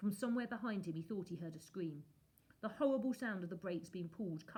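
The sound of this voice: This is an unforced reading voice. It carries an unforced reading voice throughout.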